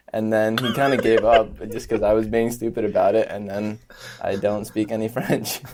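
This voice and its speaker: With an American accent, a man speaks at a medium pitch in a monotone, flat intonation over noticeable background noise. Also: moderate pace. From United States. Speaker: podcast guest. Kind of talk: casual chat.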